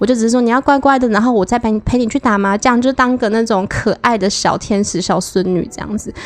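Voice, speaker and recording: A woman's fairly high voice races along at a very fast pace with ordinary pitch variation. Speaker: podcast guest sharing sex life stories. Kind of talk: casual chat.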